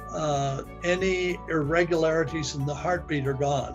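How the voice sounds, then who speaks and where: Someone speaks at a very slow pace with music in the background. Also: man. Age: 80s+. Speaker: product testimonial giver, independent business owner. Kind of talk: testimonial interview answer. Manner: hesitant, halting.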